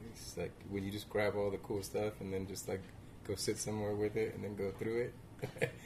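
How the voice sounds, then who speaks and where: A man's fairly low, monotone, flat voice at a fairly quick pace, over noticeable background noise. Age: 30s. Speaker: vintage store owner. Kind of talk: casual chat.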